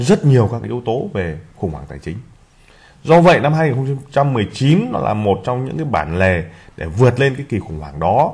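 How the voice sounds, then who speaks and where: With a medium-pitched voice, a man speaks in very wide pitch swings and big swings in loudness. Vocal fry runs through his speech. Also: moderate pace. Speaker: investment channel host. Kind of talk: presentation. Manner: frequent filler pauses.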